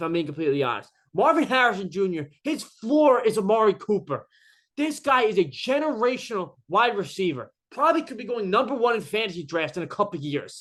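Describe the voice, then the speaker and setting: A man's high voice moves at a fairly quick pace with very wide pitch swings over a quiet background. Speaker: sports YouTuber. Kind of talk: casual monologue. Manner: halting, many fillers.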